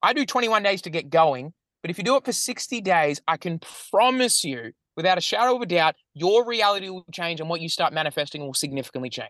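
A man speaks very fast in a high pitch with a bright, sharp tone and very wide pitch swings. The sound is dry and close with no echo, over a quiet background. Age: 30s. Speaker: business and money coach. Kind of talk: casual interview chat, explaining a mindset-reprogramming method. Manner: fast, run-on sentences with frequent fillers and restarts.

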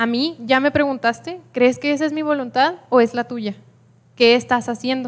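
Speaking at a fairly slow pace, a woman with a fairly high pitch shows ordinary pitch variation. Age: 20s. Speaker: student giving church testimony. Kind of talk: testimony. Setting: church with congregation.

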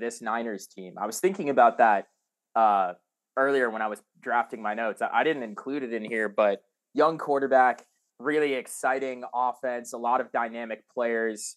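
Over a quiet background, a man with an unremarkable speaking voice and a medium pitch talks at a moderate pace, showing ordinary pitch variation and big swings in loudness. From South Carolina, Columbia. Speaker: sports podcast host. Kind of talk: casual chat. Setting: video call.

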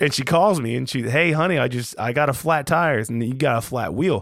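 An ordinary speaking voice from a man, medium-pitched with lively intonation at a fairly quick pace, on a very clean recording with a silent background. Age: 30s. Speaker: podcast host, father. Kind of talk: casual chat.

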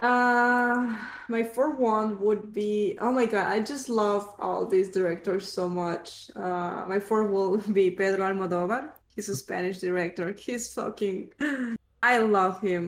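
An ordinary speaking voice, fairly slow, with ordinary pitch variation. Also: woman, medium pitch for a woman. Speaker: podcast co-host. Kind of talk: casual chat.

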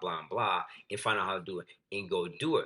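A man with an American accent speaks at a fairly quick pace with very wide pitch swings. Vocal fry runs through his voice. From West Michigan, US (Grand Rapids). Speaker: performance coach and gym owner, former football player. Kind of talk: casual interview.

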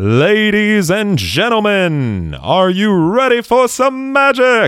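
Putting on a character voice, a man speaks in a high pitch at a very slow pace. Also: lively intonation. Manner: theatrical, announcing to a crowd.

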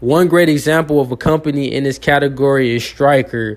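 A man with a plain, everyday voice and fairly high pitch talks at a fairly quick pace. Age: 20s. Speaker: finance podcast host. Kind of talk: educational monologue. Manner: relaxed with frequent fillers.

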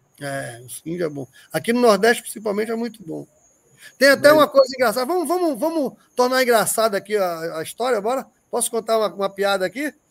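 A man's high-pitched voice swings very widely in pitch as he races along at a very fast pace. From Northeast Brazil. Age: 60s. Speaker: horse breeder. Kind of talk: casual chat. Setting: video call.

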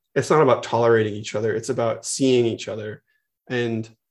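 With a Californian accent, a man speaks at a medium pitch and moderate pace, keeping his intonation fairly even. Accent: Californian American. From US West Coast, San Francisco Bay Area. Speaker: media executive and co-founder. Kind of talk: casual chat.

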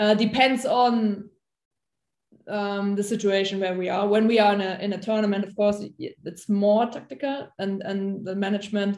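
With a German accent, a woman talks at a moderate pace using fairly even intonation. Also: medium pitch for a woman. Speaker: national football coach. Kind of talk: casual interview chat. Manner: halting, searching for words.

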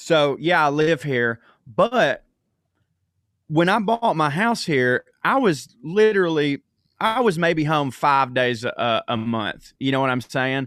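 A man with a Southern US accent, very slow, fairly high-pitched, with very wide pitch swings and a dry, close sound with no echo. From US South. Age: 30s. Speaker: comedian. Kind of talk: casual chat. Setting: video call.

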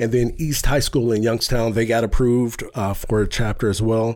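Speaking at a moderate pace with an American accent, a man with a medium-pitched voice comes through on a very clean recording against a silent background. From Warren, Ohio, US Midwest. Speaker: youth mentoring nonprofit founder. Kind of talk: interview. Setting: studio.

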